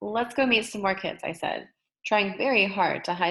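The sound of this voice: In an unforced reading voice with ordinary pitch variation, the speaker comes across over a quiet background.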